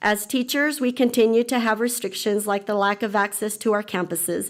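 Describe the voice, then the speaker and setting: Here a woman with an American accent speaks at a fairly quick pace. Her pitch is fairly high and her intonation fairly even. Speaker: teacher. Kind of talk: public comment at board meeting. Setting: school board meeting. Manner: formal.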